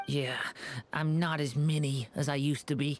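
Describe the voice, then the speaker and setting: A put-on character voice sits at a low-to-middle pitch with monotone, flat intonation. The pace is moderate. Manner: cute, adorable.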